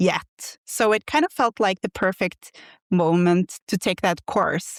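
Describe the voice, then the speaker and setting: In a very clean recording with a silent background and a dry, close sound with no echo, a woman with a Norwegian accent speaks at a medium pitch and a fairly slow pace with ordinary pitch variation. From Norway. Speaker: quilt pattern designer. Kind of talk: podcast interview. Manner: halting.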